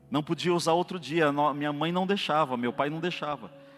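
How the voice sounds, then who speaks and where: With music playing behind him, a man talks at a fairly high pitch with ordinary pitch variation. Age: 40s. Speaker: lay preacher, actor and classical singer. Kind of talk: sermon. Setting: church. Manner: animated.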